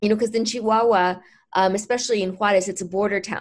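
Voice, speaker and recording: A woman speaks in an ordinary speaking voice with fairly high pitch and ordinary pitch variation on a very clean recording with a silent background. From Mexico, moved to US as a child. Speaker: healer and author. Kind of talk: interview.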